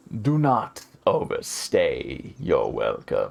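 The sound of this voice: A put-on character voice at a very slow pace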